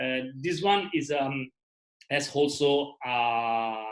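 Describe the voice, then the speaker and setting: A man in a non-native accent talks at a fairly high pitch with ordinary pitch variation. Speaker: travel videographer. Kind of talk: online presentation. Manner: halting, many fillers.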